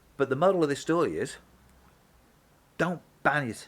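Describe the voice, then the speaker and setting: The speaker talks at a moderate pace with a Brummie accent. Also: man. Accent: Brummie (Birmingham) English. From Birmingham, England. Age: 60s. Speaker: mechanic and vlogger. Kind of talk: opinion vlog. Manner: casual, hesitant with fillers.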